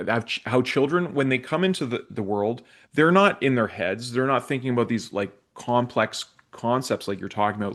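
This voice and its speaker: A man with a normal speaking voice talks at a fairly quick pace and medium pitch. The background is quiet. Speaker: podcast co-host. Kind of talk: casual podcast conversation.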